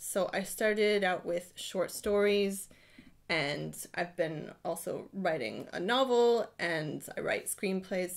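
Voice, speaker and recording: In a very clean recording with a silent background, a woman with an American accent speaks with lively intonation. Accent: American accent noticeable in Britain. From Ohio, US. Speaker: writing workshop leader. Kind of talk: live-streamed guided writing session. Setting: home writing room, live stream. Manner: casual, chatty with fillers.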